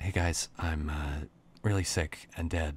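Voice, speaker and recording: Putting on a raspy character voice with a very deep, low pitch, a man speaks at a fairly slow pace. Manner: weak, trying to sound cheerful.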